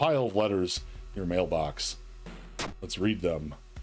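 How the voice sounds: What you hear is a natural reading voice.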